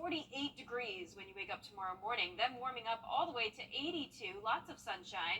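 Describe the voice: A fairly high-pitched woman's voice, bright and sharp in tone, at a fairly quick pace.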